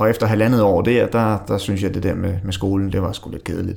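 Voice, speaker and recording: A man's fairly low voice with fairly even intonation, on a very clean recording with a silent background. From Denmark, Allerød (North Zealand). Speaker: unemployed job seeker. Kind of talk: interview. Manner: halting.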